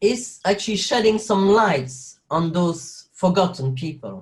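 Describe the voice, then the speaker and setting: With a French accent, a man talks at a moderate pace. His intonation is lively. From French-speaking Belgium. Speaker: actor and carer. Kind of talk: interview conversation. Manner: halting, with many fillers.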